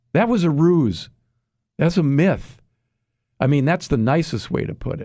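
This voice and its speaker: A man speaks at a moderate pace with a fairly high pitch. His tone is dark and mellow, and his intonation is lively. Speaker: health expert guest. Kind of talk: interview. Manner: animated; halting.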